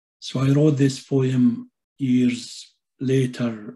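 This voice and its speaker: In an Arabic accent, a dark, mellow tone holds a monotone, flat intonation over a quiet background. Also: man. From Palestinian, grew up in Syria. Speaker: poet and translator. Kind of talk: poetry reading. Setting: video call. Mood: calm, reflective. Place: home room. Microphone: webcam.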